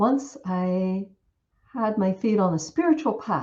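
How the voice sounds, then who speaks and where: Fairly high in pitch, a woman speaks with an American accent and lively intonation. Her voice is somewhat breathy. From US South. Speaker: Buddhist nun and Dhamma teacher. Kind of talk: Dhamma talk. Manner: hesitant fillers, occasional stumbles.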